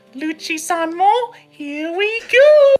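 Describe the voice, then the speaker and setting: The voice is a put-on character voice at an extremely high pitch. Faint music plays in the background. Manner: exaggerated, quirky.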